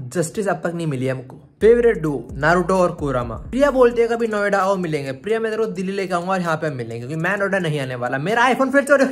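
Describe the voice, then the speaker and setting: Animated in tone, the voice moves at a moderate pace with hardly any pauses and very wide pitch swings. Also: man, high pitch for a man. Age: 20s. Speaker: vlogger. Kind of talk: casual Q&A vlog; talking to pet dog. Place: home room. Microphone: phone near.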